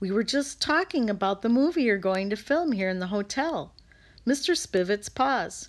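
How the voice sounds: The pitch rises and falls in a lively way. It is a natural reading voice.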